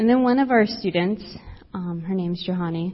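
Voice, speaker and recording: Soft-spoken and somewhat breathy, a woman with an American accent speaks at a medium pitch with ordinary pitch variation. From South Texas, US-Mexico border. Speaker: campus minister. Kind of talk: sermon.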